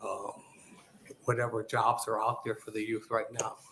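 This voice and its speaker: Noticeable background noise accompanies a man talking in an American accent. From Omaha, Nebraska. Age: 70s. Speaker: small business owner. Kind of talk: testimony. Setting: legislative committee hearing. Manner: halting.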